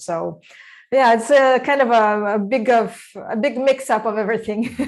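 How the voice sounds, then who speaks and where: A woman with a Russian accent speaks with ordinary pitch variation on a very clean recording with a silent background. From Kazakhstan. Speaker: breathwork practitioner, former development worker. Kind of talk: casual interview. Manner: hesitant, many fillers.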